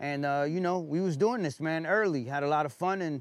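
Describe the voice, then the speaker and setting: Speaking at a fairly quick pace, a man with a New York accent uses ordinary pitch variation. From New York, Brooklyn (Bushwick). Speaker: guest. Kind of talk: casual chat. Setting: outdoors.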